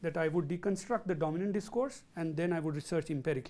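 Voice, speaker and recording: With a South Asian accent, a man speaks very fast in a high-pitched voice with a dark, mellow tone and ordinary pitch variation. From India. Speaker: professor. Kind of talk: lecture Q&A. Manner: halting.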